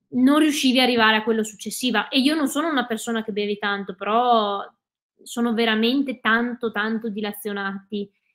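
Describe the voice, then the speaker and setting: A woman with an ordinary speaking voice, fairly high pitch, fairly even intonation and a fairly quick pace, against a quiet background. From Veneto, Italy (Cadore, Dolomites); Veneto, Italy. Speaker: ultra trail runner and ski mountaineer; guest. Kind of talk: interview. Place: home room.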